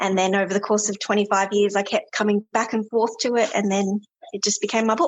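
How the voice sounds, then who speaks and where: Speaking at a very fast pace, a woman keeps a medium pitch, very even loudness and monotone, flat intonation. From South Australia. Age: 30s. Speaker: author. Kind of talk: interview.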